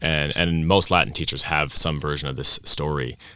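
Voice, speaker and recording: A man with an American accent talks fairly quickly, his pitch very deep and low. His tone is bright and sharp, with vocal fry. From Vienna, Austria (American parents). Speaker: language teacher and teacher coach. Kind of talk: interview at a conference. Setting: conference venue.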